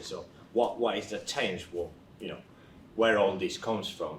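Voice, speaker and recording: A man talks at a moderate pace. The recording carries audible room echo and noticeable background noise. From Spain. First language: Spanish. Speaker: research nurse. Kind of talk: career talk to young people. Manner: hesitant, with many fillers.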